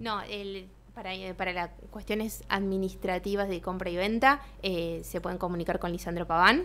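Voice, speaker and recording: Her tone is bright and sharp, with a medium pitch and fairly even intonation. The woman keeps a moderate pace. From Santa Fe province, Argentina. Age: young. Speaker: architect; guest. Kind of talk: radio interview. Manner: halting, many fillers and repetitions. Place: studio. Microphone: studio mic.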